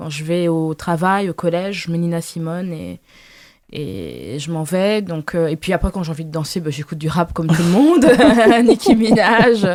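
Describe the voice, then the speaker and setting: A woman speaks at a fairly low pitch with ordinary pitch variation and a moderate pace. The recording is very clean, with a silent background. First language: Lingala (speaking French). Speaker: novelist. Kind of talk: interview. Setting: literary festival press area. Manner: halting, many fillers.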